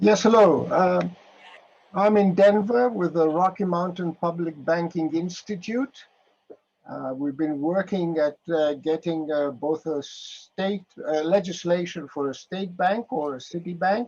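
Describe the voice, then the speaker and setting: In a Greek accent, the speaker goes at a fairly slow pace with ordinary pitch variation. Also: man, high pitch for a man. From Greece. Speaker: public banking activist, retired economics professor. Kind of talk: meeting discussion. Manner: halting.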